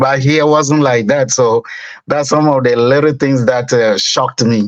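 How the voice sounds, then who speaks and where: A West African accent at a fairly slow pace, with fairly even intonation and very even loudness. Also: man, medium pitch for a man. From Togo, West Africa. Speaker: business owner. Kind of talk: interview.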